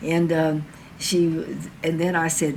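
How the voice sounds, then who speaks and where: Amid noticeable background noise and audible room echo, a woman with a fairly low pitch talks at a fairly slow pace. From southern Ohio, US. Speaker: civil rights activist. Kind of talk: oral history interview. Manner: halting, with fillers.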